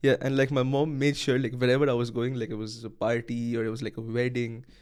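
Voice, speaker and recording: A man in a Bengali accent at a very fast pace, medium-pitched and with monotone, flat intonation. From India, Kolkata, West Bengal. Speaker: university student. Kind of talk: casual chat.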